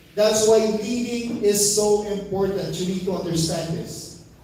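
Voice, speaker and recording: Audible room echo surrounds a man speaking at a high pitch. He talks at a fairly slow pace in an animated tone. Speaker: network marketing trainer. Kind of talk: motivational seminar talk.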